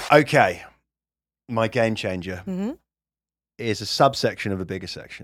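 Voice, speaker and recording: A man with a British accent speaks at medium pitch and a moderate pace, with lively intonation and long, frequent pauses. His loudness swings widely, and the recording is very clean with a silent background. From UK. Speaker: comedian and podcast co-host. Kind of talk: casual chat. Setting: studio.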